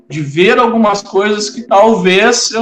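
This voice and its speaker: A man at a fairly slow pace, ordinary pitch variation, noticeable background noise. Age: 40s. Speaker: Afro-Brazilian religious leader. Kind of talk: interview.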